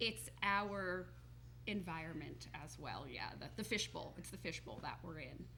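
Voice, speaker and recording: Speaking with a New Jersey accent, a woman talks at a fairly slow pace. Her loudness swings widely, and audible room echo surrounds her voice. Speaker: holistic health coach. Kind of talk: TV talk show interview.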